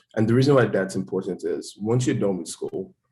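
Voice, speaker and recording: A man talks at a very fast pace in a somewhat breathy voice. His pitch is fairly low. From Nigeria, Lagos. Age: 20s. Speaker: finance professional, engineering graduate. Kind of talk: interview. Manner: hesitant, many fillers and repetitions.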